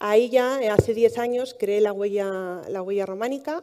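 Against a quiet background, a woman is talking. Her tone is dark and mellow, and her pitch moves normally. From Palencia, Castilla y León, Spain; Castilla y León, Spain. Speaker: heritage blogger, monastery worker; heritage blogger. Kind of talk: talk to live audience. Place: hall.

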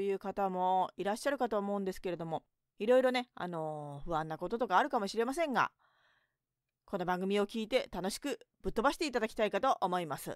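A woman talks at a very fast pace, medium in pitch, with lively intonation. The sound is dry with no echo, and the background is quiet. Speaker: narrator and writer; radio host. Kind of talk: late-night radio talk show. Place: studio.

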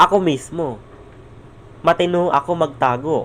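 Talking fairly slowly, a man shows ordinary pitch variation. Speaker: vlogger. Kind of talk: vlog monologue. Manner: raised voice; halting.

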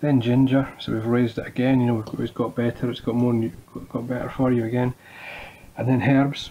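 A man with a Scottish accent talks at a fairly quick pace. His intonation is flat and monotone, over light background noise. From Scotland. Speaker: home cook. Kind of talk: cooking tutorial. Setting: home kitchen. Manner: casual, halting. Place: kitchen. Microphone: phone near.

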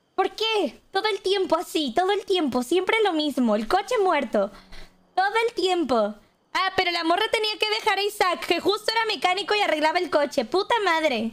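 At a moderate pace, a woman with an extremely high pitch speaks with very wide pitch swings. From Monterrey, Mexico. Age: 20s. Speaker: Twitch streamer. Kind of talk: casual live-stream talk to chat. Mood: playful exasperation, venting. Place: home room. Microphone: studio mic.

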